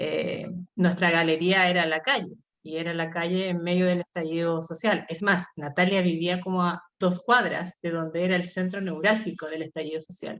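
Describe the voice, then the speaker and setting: Fairly even intonation and a moderate pace mark a plain, everyday voice. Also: woman, fairly low pitch for a woman. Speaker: artist and university lecturer. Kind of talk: artist talk.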